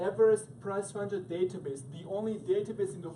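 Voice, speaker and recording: A man speaks at a moderate pace with a Croatian accent, and noticeable background noise runs underneath. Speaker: sales trainer. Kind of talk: sales presentation. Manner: animated.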